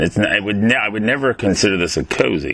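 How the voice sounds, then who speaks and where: A man with a fairly low pitch at a fairly quick pace, with noticeable background noise. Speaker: podcast host. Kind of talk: casual interview.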